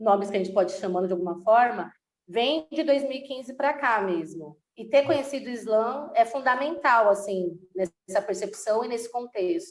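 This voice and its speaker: With a plain, everyday voice, a woman talks at a moderate pace with hardly any pauses, her fairly high pitch carrying lively intonation. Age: 30s. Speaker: actress and slam poet. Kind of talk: interview conversation.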